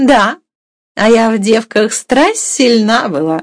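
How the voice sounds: A woman's put-on character voice, slow and with lively intonation, in a dry, close sound with no echo. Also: fairly high pitch for a woman.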